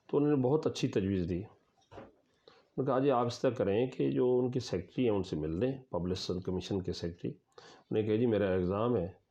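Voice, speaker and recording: A man talks in a fairly low pitch with lively intonation. His is a plain, everyday voice. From Pakistan, Chakwal district, Punjab. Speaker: professor. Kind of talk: interview answer.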